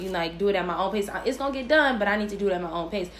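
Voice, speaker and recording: Amid noticeable background noise, a woman with an American accent speaks with lively intonation. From US Midwest, Chicago. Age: 20s. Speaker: podcast host. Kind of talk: casual chat. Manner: animated.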